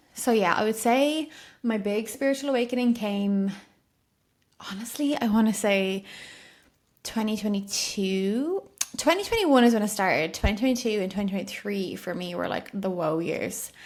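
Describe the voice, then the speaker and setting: With an Irish accent, a woman speaks at a moderate pace in a fairly high pitch with ordinary pitch variation. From Ireland. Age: 20s. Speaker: podcast host, spiritual coach. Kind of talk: solo podcast monologue. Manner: chatty, casual with many fillers.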